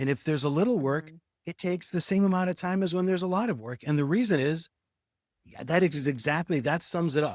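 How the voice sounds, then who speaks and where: A man with an ordinary speaking voice talks at a fairly quick pace and fairly high pitch, with ordinary pitch variation. The sound is dry and close with no echo, in a very clean recording with a silent background. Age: 60s. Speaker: remote worker. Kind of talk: coaching session talk.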